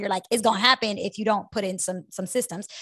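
A woman at a medium pitch with ordinary pitch variation and a fairly quick pace. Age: 30s. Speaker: personal finance podcast host. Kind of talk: casual chat. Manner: animated.

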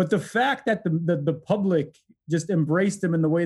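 This man has a high pitch and an American accent, with ordinary pitch variation. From US Midwest, Detroit. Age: 40s. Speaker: law professor and author. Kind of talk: interview.

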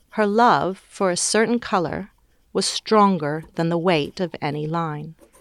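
A woman's fairly low voice with an American accent, an ordinary speaking voice at a fairly slow pace with ordinary pitch variation. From US South, Georgia. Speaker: academic commentator. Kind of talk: scripted narration.

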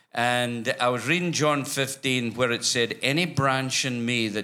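Speaking with a Scottish accent at a fairly slow pace, a man uses a medium pitch, ordinary pitch variation and a bright, sharp tone, in a very clean recording with a silent background. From Scotland. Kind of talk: church interview. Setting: church with congregation.

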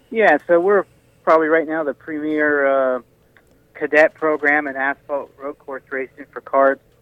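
Man with an American accent and a normal speaking voice, fairly high in pitch, with big swings in loudness. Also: fairly even intonation, moderate pace. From Washington State. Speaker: sprint car driver and kart business owner. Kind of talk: casual interview. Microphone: connection breaking up.

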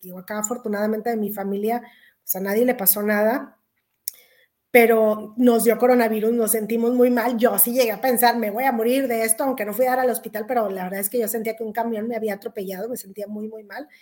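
This woman talks at a very fast pace with a fairly high pitch. Her intonation stays monotone and flat. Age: 40s. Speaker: economist. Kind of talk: interview.

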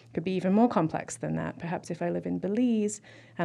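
A woman speaks with a southern English accent in a fairly low pitch and a dark, mellow tone. The background is quiet. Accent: mainstream southern English. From Southeast England. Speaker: linguistics professor. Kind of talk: interview. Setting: studio.

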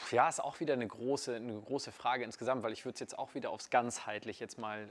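A man talks with ordinary pitch variation. He has an ordinary speaking voice. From northern Germany, Kiel. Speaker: network marketer. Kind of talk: casual interview. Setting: in person in Munich.

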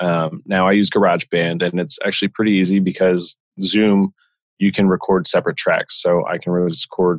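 A man with an American accent has a plain, everyday voice, fairly low in pitch. He speaks at a moderate pace with fairly even intonation, and the sound is dry and close with no echo. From Pennsylvania, Lehigh Valley. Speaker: insurance specialist and podcaster. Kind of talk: interview.

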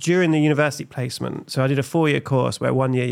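This man speaks with an East Anglian accent. His intonation stays fairly even. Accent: English (East Anglia). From England, Suffolk (Felixstowe). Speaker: comedian and creative director. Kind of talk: casual chat.

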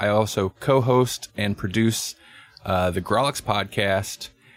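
An ordinary speaking voice from a man, fairly low in pitch, with ordinary pitch variation. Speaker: podcast network host. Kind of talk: casual chat. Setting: live stream group call.

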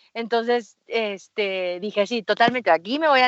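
With a Mexican accent, a woman speaks at a fairly high pitch. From Mexico, Aguascalientes. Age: 30s. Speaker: mountaineer and business coach. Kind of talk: interview.

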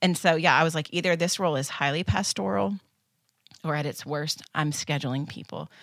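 Using vocal fry, a woman with an American accent speaks at a fairly quick pace in a very deep, low pitch. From US Midwest, small town in northeast Kansas. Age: 40s. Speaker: church children's ministry staff. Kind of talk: casual interview.

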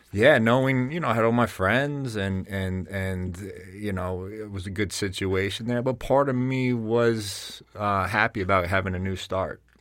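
A man's fairly low voice in a New Jersey accent, at a fairly slow pace with hardly any pauses and ordinary pitch variation. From North Jersey, Bergen County. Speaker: fitness business founder and strength coach. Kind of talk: interview conversation. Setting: studio.

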